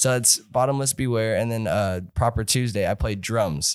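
A man with an American accent talks at a moderate pace and medium pitch. He has a plain, everyday voice with ordinary pitch variation. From California. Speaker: rock musician, singer and guitarist. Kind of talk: casual chat.

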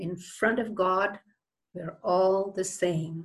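A woman speaks at a very slow pace with medium pitch. Her voice is somewhat breathy. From India. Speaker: physician. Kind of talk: interview. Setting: video call.

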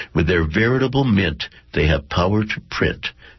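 Over noticeable background noise, a man speaks in a very deep, low pitch with very wide pitch swings. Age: 70s. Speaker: poet. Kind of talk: poetry reading.

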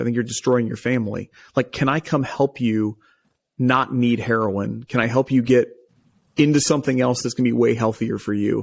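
The recording is very clean, with a silent background. A man with an unremarkable speaking voice talks at a fairly quick pace and medium pitch. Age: 30s. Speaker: private equity investor. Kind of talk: interview.

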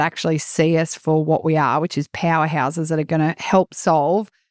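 In an Australian accent, a woman with a very deep, low pitch speaks at a fairly quick pace in a monotone, flat way, recorded very cleanly against a silent background with a dry, close sound and no echo. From rural Queensland, Australia. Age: 40s. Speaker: rural business consultant. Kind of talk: casual interview.

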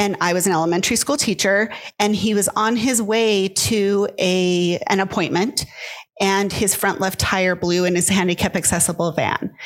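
A woman speaks in a normal speaking voice at a medium pitch and a moderate pace, with fairly even intonation and very even loudness. The recording is very clean, with a silent background. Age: 50s. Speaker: author and grief coach. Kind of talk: interview.

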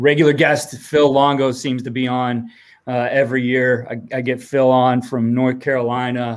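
At a fairly slow pace and medium pitch, a man speaks in an American accent on a very clean recording with a silent background. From Ohio. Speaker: football coach and podcaster. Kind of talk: interview.

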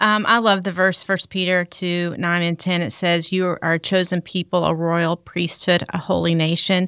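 With an American accent, a woman speaks at a moderate pace with hardly any pauses, using a fairly low pitch and monotone, flat intonation, in a very clean, dry, close recording with no echo and a silent background. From US South, Arkansas. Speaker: staff pastor. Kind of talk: casual chat.

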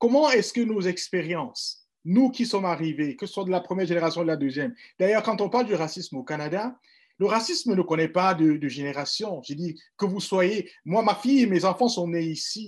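A man speaks in a high-pitched voice on a very clean recording with a silent background. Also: lively intonation, moderate pace. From Cameroon. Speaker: forum panelist. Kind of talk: panel discussion.

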